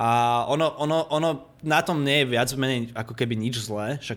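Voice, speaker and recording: The voice belongs to a man. Intonation is fairly even. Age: 20s. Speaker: architectural visualization studio owner. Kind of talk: casual interview. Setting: Skype call. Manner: talkative.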